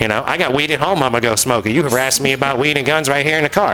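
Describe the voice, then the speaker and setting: Amid noticeable background noise, a man at a medium pitch talks at a very fast pace with ordinary pitch variation. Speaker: podcast host. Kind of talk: casual chat.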